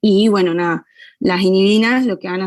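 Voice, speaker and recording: At a moderate pace, a woman speaks with a medium pitch and ordinary pitch variation, the sound dry and close with no echo. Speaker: physiology class tutor. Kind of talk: online class discussion. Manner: hesitant, many fillers.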